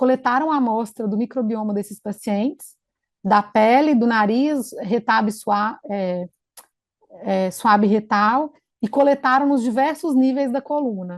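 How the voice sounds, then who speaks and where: With an ordinary speaking voice, a woman talks at a moderate pace, her fairly high pitch showing ordinary variation. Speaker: infection control physician. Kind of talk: conference presentation.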